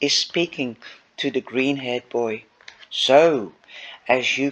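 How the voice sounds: A natural reading voice, its pitch varying in an ordinary way.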